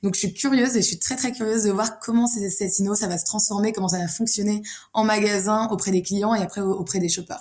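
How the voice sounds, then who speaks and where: Over a very clean recording with a silent background, a woman talks very fast in a medium-pitched, somewhat breathy voice. Her intonation is fairly even. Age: 20s. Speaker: food industry sales manager. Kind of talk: casual chat.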